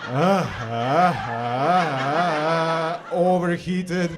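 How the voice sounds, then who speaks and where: A man with a Serbian accent and a fairly high pitch, over noticeable background noise. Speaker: comedian. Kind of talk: stand-up. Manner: halting, many fillers and repetitions.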